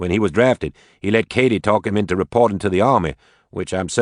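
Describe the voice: The pitch moves with ordinary variation. It is plain reading aloud.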